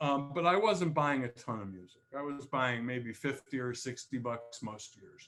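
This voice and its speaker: A man with a normal speaking voice and lively intonation keeps to a moderate pace. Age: 60s. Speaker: tech author and featured speaker. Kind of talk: presentation to user group. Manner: casual, with many repeated words.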